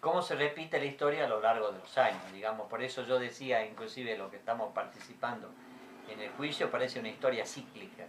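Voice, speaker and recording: Over noticeable background noise, a man talks at a very fast pace in a medium pitch, with ordinary pitch variation and big swings in loudness. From Argentina, Jujuy (Libertador General San Martín). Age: 60s. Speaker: dictatorship survivor, witness. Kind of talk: interview testimony.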